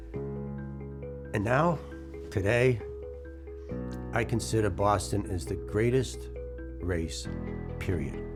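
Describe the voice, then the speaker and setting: A man is speaking. Music plays in the background. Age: 60s. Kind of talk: inspirational talk to camera.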